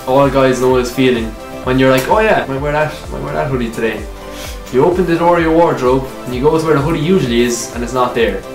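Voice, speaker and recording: An Irish accent at a fairly quick pace with ordinary pitch variation, over clear music in the background. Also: man. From Ireland. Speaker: YouTuber. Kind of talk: casual comedy sketch to camera. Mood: joking, playful complaining. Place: home room. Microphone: camera far.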